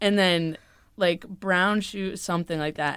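The recording is very clean, with a silent background. A woman speaks at a moderate pace with monotone, flat intonation. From US South. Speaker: student podcast co-host. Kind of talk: casual chat.

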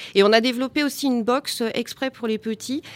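This woman has a plain, everyday voice, speaking at a moderate pace with ordinary pitch variation. The sound is dry and close, with no echo. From Val d'Oise, France. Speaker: gardening business founder. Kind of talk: live radio panel discussion. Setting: live broadcast at public event.

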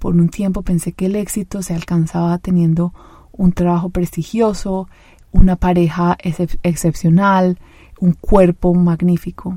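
A woman with fairly low pitch talks at a fairly slow pace in a somewhat breathy, dark, mellow voice with monotone, flat intonation. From Colombia, Medellín. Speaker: podcast host and life coach. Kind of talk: solo podcast monologue.

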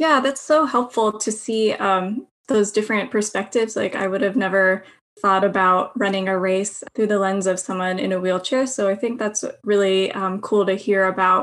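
This woman has an American accent and a medium pitch with ordinary pitch variation. She keeps a moderate pace with hardly any pauses. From United States. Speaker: podcast co-host. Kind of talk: podcast interview. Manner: hesitant, many fillers.

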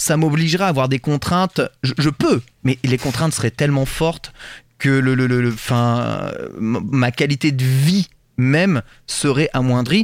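A plain, everyday voice speaks at a fairly slow pace with ordinary pitch variation. The sound is dry and close, with no echo. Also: man. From rural France. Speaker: podcast host. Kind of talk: casual chat. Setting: remote recording.

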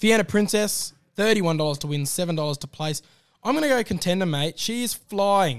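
A man speaks with an Australian accent at a fairly quick pace and with ordinary pitch variation. The recording is very clean, with a silent background. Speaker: racing podcast host. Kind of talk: casual racing analysis chat.

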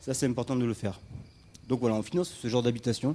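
His pitch is medium. This man has a dark, mellow tone. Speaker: humanitarian association founder. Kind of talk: storytelling talk on stage. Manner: casual, hesitant with fillers.

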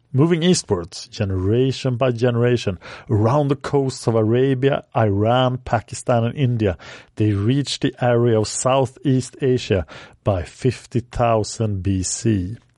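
A man with a non-native accent speaks at a medium pitch and a fairly slow pace, in a dark, mellow tone with ordinary pitch variation and very even loudness, over a quiet background with a dry, close sound and no echo. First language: not English. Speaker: history podcast host. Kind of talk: scripted narration.

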